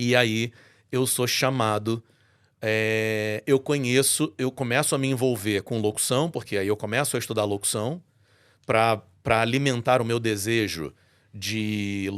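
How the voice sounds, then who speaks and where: A man speaks in an ordinary speaking voice, medium in pitch with ordinary pitch variation. His pace is moderate, and the recording is very clean with a silent background. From Brazil, Rio de Janeiro. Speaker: voice-over announcer and church musician. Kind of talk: testimony in podcast interview.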